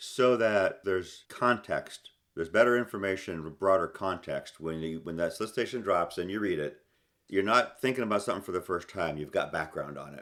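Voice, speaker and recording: An unremarkable speaking voice from a man, fairly low and fairly quick, with ordinary pitch variation, big swings in loudness and a very clean recording with a silent background. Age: 60s. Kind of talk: podcast interview conversation.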